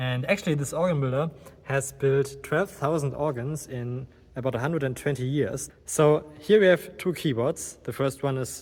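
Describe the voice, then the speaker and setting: Speaking with a German accent at a moderate pace, a man uses a fairly high pitch with ordinary variation and a somewhat breathy quality. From Germany. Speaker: organist and video creator. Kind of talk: guided tour presentation. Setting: inside a church.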